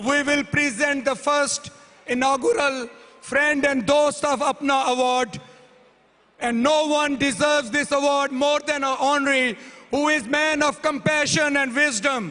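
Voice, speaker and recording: Over noticeable background noise, a man with an extremely high pitch uses a raised, projected voice at a fairly slow pace, with fairly even intonation and very even loudness. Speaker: awards committee presenter at physicians' convention. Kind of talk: award presentation speech. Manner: formal.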